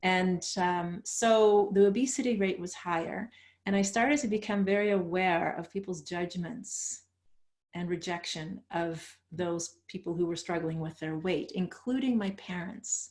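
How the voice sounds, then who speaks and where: The speaker has a Dutch accent. The pitch varies in an ordinary way. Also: woman, medium pitch for a woman, fairly slow pace. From Netherlands, moved to Canada at thirteen. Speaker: author and coach. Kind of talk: interview.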